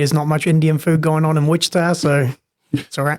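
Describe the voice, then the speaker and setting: With a New Zealand accent, a man speaks very fast at a fairly high pitch in a monotone, flat delivery. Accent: New Zealand accent, noticeable. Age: 30s. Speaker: personal trainer. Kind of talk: casual podcast interview. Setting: studio podcast with headphones.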